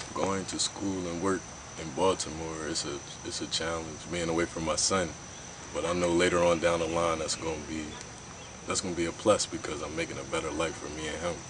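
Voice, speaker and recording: With noticeable background noise behind him, a man speaks at a fairly quick pace in a very deep, low pitch with monotone, flat intonation. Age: 20s. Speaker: college student and young father. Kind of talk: interview testimony.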